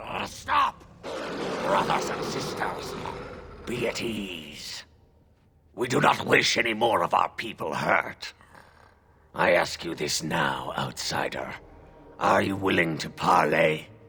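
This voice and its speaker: A raspy, put-on character voice from a man, fairly low-pitched, at a fairly slow pace with long, frequent pauses. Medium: video game. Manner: formal, grave.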